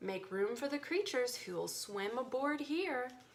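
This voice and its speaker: A woman's put-on character voice, high-pitched, over clear background noise. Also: moderate pace. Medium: read story.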